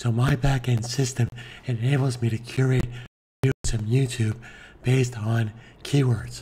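Somewhat breathy and dark, mellow in tone, a man at a medium pitch speaks at a moderate pace in a monotone, flat way with long, frequent pauses. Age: 60s. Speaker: online marketing tutor. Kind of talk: tutorial.

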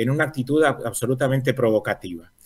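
A man talks at a moderate pace. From Argentina, Río Negro. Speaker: environmental activist. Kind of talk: news interview. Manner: halting, many fillers.

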